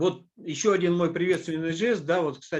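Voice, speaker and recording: Ordinary pitch variation shapes a man's speech, delivered at a moderate pace. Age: 60s. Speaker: business presenter. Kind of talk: online presentation. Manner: hesitant, many filler sounds.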